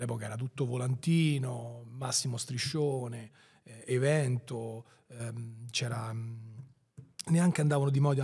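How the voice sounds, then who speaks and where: In a quiet background, a man with a dark, mellow, somewhat breathy tone keeps fairly even intonation and leaves long, frequent pauses. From Rome outskirts, Italy; Italy. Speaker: entrepreneur; podcast guest. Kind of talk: interview. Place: studio. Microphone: studio mic.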